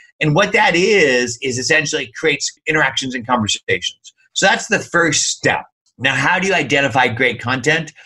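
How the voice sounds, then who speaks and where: Lively intonation colors a man's fairly high-pitched speech, delivered at a moderate pace. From US. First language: not English. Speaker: software company founder. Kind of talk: interview.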